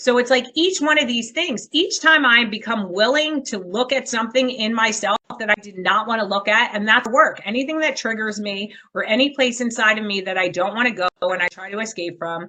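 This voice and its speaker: Loud and lively, a woman speaks at a moderate pace in a fairly high, bright, sharp voice. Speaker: trauma counselor and speaker. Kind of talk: podcast interview.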